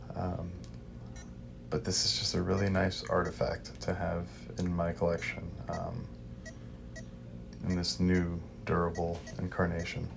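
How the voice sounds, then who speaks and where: A man speaks with a very deep, low pitch and ordinary pitch variation at a fairly slow pace. Long, frequent pauses and audible room echo come through. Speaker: toy collector YouTuber. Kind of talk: unboxing video. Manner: casual, hesitant with fillers.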